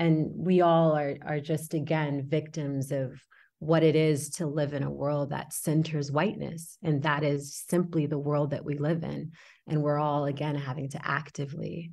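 A fairly slow, flat, monotone delivery with an American accent, on a very clean recording against a silent background. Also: woman. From Houston, Texas (born in Senegal, moved at six). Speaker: actor. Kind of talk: interview.

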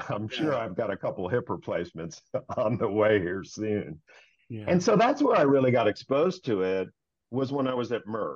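A man with a plain, everyday voice speaks at a moderate pace and medium pitch, his intonation lively. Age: 50s. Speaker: meeting facilitation consultant. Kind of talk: interview.

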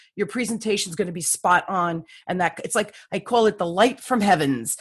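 Against a quiet background, a somewhat breathy woman speaks at a fairly quick pace with lively intonation. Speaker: sales coach and author. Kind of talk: interview. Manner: animated.

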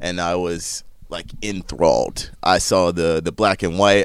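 In a very clean recording with a silent background, a man with a very deep, low voice speaks fairly slowly in a flat monotone. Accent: American. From US South, North Carolina. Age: 30s. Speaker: soccer presenter. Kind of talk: interview. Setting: studio.

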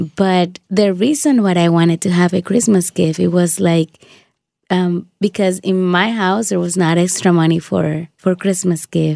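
Through a very clean recording with a silent background, a woman with a Spanish accent speaks at a fairly slow pace in a fairly low pitch, her tone dark and mellow, with fairly even intonation and very even loudness. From Dominican Republic. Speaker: shoebox recipient, radio worker. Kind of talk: testimony. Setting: studio.

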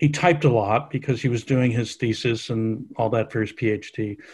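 A somewhat breathy man's voice at medium pitch. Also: very clean recording, silent background. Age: 70s. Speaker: author and science writer. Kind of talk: interview conversation.

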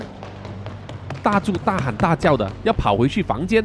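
A speaker reading aloud in a natural voice

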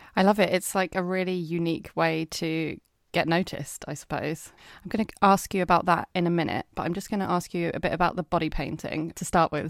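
A woman's fairly low voice, a normal speaking voice, at a moderate pace with fairly even intonation and a dry, close sound with no echo. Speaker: podcast host. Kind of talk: casual interview chat. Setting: remote recording, no video.

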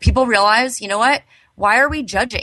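Animated in tone, a woman with a Southern California accent speaks with lively intonation. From Los Angeles, San Fernando Valley. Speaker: podcast host, cannabis entrepreneur. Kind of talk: casual interview.

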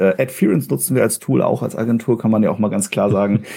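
A man's fairly low voice has a dark, mellow tone and moves at a fairly quick pace. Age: 30s. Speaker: marketing agency head. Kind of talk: interview.

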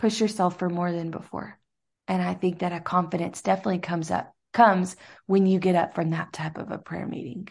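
Against a quiet background, a woman with an ordinary speaking voice talks at a fairly low pitch and a fairly quick pace with fairly even intonation. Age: 30s. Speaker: evangelist's wife and traveling minister. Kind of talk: casual chat.

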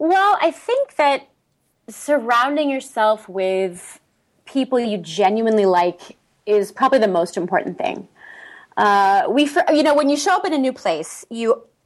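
In a very clean recording with a silent background, a woman with an American accent speaks at a fairly high pitch, her voice making very wide pitch swings. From US, San Diego, California. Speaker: opera singer and expat group founder. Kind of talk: casual interview.

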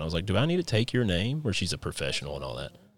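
A man's very fast speech with vocal fry. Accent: Appalachian. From Kentucky. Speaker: podcast host. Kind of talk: casual interview chat.

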